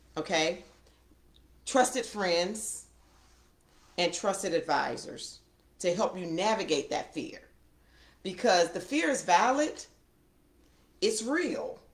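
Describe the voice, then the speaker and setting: A woman at a medium pitch, very slow, with very wide pitch swings and long, frequent pauses. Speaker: financial expert. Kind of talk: live conversation.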